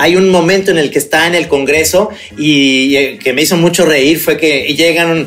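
At a fairly slow pace, a man with a normal speaking voice talks at a fairly high pitch with ordinary pitch variation. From Guadalajara, Mexico. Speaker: film podcast co-host. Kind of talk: casual chat about films and series.

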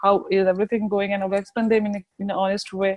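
A woman's medium-pitched voice, dry and close with no echo. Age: 20s. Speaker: graduate student and researcher. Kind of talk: interview storytelling. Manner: halting.

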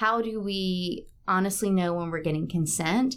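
Her medium-pitched voice is a normal speaking voice, and the woman speaks in an American accent with fairly even intonation. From South Carolina (Batesburg-Leesville). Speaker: theatre professor and actor. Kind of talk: interview.

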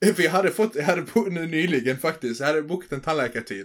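On a very clean recording with a silent background, a man speaks fairly quickly in a plain, everyday voice, pitched fairly high with ordinary pitch variation. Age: 20s. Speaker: podcast co-host. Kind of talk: casual chat.

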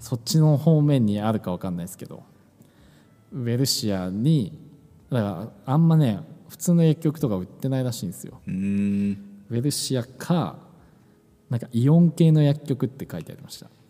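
A man's dark, mellow tone at a moderate pace, with lively intonation and big swings in loudness. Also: medium pitch for a man. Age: 20s. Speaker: podcast co-host. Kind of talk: casual chat. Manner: hesitant, many fillers.

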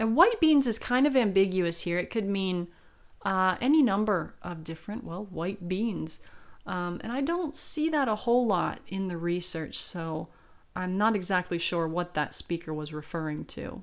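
A woman has a normal speaking voice with a medium pitch and lively intonation. She speaks at a moderate pace in a very clean recording with a silent background. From South Carolina. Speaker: podcast host and dictionary co-author. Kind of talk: educational podcast monologue with readings. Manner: casual, with frequent fillers.

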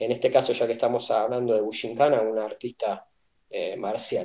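An unremarkable speaking voice from a man, moderate in pace with lively intonation. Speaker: martial arts instructor. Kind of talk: casual chat.

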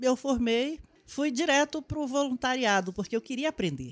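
The sound is dry and close with no echo, against a quiet background. Speech moves at a moderate pace with ordinary pitch variation. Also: woman. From Brazil, Amazonas (Manaus). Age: 50s. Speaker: social worker. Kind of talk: interview. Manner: halting.

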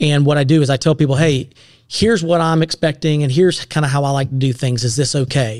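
Speaking at a very fast pace, a man with an American accent uses a fairly high pitch and ordinary pitch variation. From US South, upstate South Carolina. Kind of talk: casual chat.

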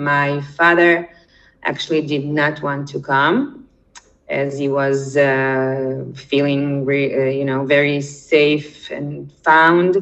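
A woman speaks in a Russian accent. Her pitch is very deep and low. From Israel, born in Ukraine. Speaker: documentary participant, immigrant. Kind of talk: interview. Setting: remote call from Israel.

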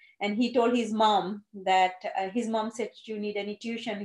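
Speaking in a Gujarati accent, a woman holds a moderate pace and a fairly high pitch with fairly even intonation. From India (Gujarat). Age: 50s. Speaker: GP surgery administrator. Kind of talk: casual interview.

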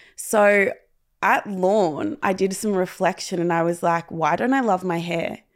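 A woman with an Australian accent, moderate pace, and ordinary pitch variation on a very clean recording with a silent background. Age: 20s. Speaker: content creator and mental health advocate. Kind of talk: personal testimony in interview.

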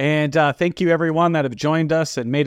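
A man with a Texan accent is heard in a dry, close sound with no echo against a quiet background. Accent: Texan American. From Texas. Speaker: podcast host. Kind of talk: casual interview. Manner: hesitant, many uh fillers.

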